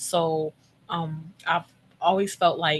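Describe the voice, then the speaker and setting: Speaking with an American accent, a woman uses a very deep, low pitch. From Philadelphia, US. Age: 30s. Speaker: former caregiver and podcaster. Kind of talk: testimony.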